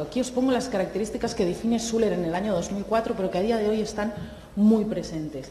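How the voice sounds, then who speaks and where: A woman talks at a very fast pace with lively intonation, with audible room echo and noticeable background noise. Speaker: clinical psychologist and university lecturer. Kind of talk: conference talk. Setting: seminar with live audience.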